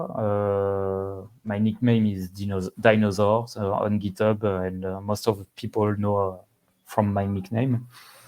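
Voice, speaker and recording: Speaking with a French accent, a man has a fairly low pitch. His pace is fairly slow. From France. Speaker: software developer. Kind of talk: casual interview. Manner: halting, many fillers.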